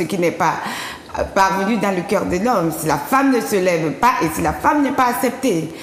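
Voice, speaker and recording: A woman with an African accent, medium pitch, and moderate pace, with audible room echo and noticeable background noise. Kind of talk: testimony. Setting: TV studio.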